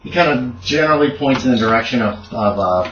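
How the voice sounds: There is audible room echo as a man at medium pitch talks fast, with lively intonation and a fairly bright tone.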